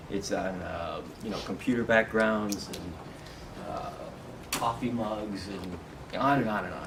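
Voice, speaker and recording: A soft-spoken man talks at a moderate pace. Noticeable background noise and audible room echo fill the recording. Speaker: meditation and spiritual workshop teacher. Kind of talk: talk to a live group. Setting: meeting room with audience.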